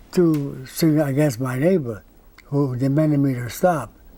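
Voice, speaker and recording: A man speaks fairly slowly with a Hawaiian accent. His pitch sits fairly high. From Hawaii (Kauai). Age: 80s+. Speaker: singer. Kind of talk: interview. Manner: halting.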